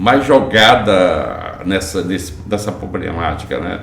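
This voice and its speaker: A man speaks at a fairly slow pace. Room echo is audible, and background noise is noticeable. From Brazil, Bahia (Porto Seguro). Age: 70s. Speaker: real estate entrepreneur. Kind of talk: interview.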